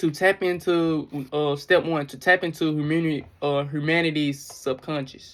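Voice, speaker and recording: Moderate pace with hardly any pauses, on a very clean recording with a silent background. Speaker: conspiracy commentary vlogger. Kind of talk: casual monologue.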